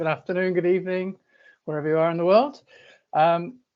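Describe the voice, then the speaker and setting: This is a man speaking with a British accent. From United Kingdom. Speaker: conference speaker, data consultant. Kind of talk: conference presentation. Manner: hesitant, many fillers and repetitions.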